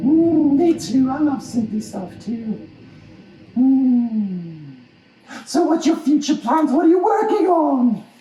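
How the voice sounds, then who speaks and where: This loud, high-pitched cartoonish character voice comes with a slight echo. It proceeds at a fairly slow pace with long, frequent pauses. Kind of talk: puppet show interview host. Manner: excitable, loud.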